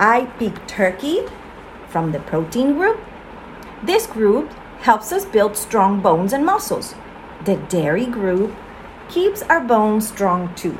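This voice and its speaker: Very wide pitch swings from a woman with a warm tone, at a very slow pace, amid noticeable background noise. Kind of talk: children's audiobook read-aloud, storybook narration. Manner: warm, friendly, simple and clear, aimed at young listeners.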